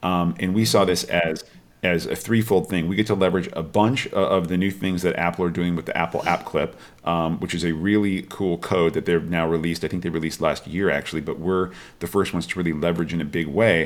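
On a very clean recording with a silent background, a man with an American accent and a very deep, low pitch talks at a fairly quick pace with fairly even intonation. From Washington state, US. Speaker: film studio executive. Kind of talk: interview. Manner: halting, many fillers and repeated words.

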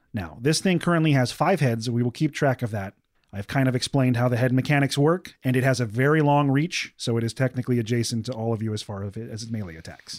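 In a very clean recording with a silent background, a man speaks at a very fast pace with hardly any pauses, a medium pitch, ordinary pitch variation and a dramatic, playful tone. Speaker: game master running the tabletop RPG. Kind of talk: tabletop RPG game master narration, scene-setting description. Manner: vivid, dramatic narrator who sets the scene and builds tension, with playful laughs.

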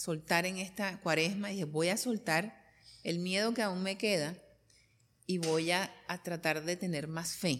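On a very clean recording with a silent background, a woman talks in a plain, everyday voice at a fairly low pitch and a fairly slow pace, with fairly even intonation. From Colombia. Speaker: interviewer, journalist. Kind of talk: casual interview conversation.

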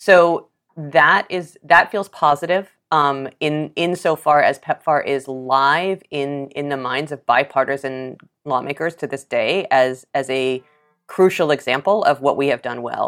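A woman with an American accent speaks at a fairly slow pace, her pitch very deep and low. Her pitch variation is ordinary, and the recording is very clean with a silent background. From New York City. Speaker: journalist and AIDS activist. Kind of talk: interview conversation. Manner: engaging, welcoming yet uncompromising.

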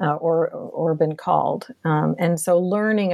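On a very clean recording with a silent background, a woman with an American accent speaks in an unremarkable speaking voice, fairly low in pitch, with fairly even intonation. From Boston, Massachusetts. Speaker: professor. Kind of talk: interview.

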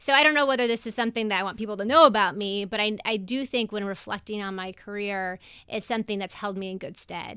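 This very clean recording with a silent background features a woman with an American accent. She speaks fairly quickly at a medium pitch, bright and sharp in tone, with ordinary pitch variation. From Colorado, US (Denver). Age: 40s. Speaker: investment firm policy head. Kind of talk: interview. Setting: studio. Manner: halting, many fillers and restarts.

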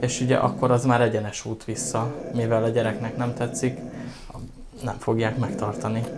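A man talks at medium pitch in a flat monotone, at a moderate pace. Long, frequent pauses break his speech over noticeable background noise. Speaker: animal rescue operations manager. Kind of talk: casual interview.

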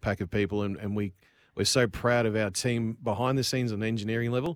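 A man speaks at a very fast pace with an Australian accent. His pitch is fairly low and his intonation fairly even. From Queensland, Australia (Cairns). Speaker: business owner. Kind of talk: radio interview. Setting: remote call into radio studio.

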